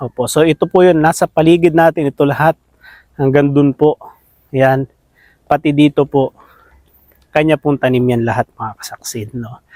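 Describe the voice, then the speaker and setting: With a dark, mellow tone and fairly high pitch, a man speaks at a moderate pace with fairly even intonation and long, frequent pauses, in a dry sound with no echo and a quiet background. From Philippines. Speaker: farming vlogger. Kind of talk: casual interview chat. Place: open country. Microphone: phone near.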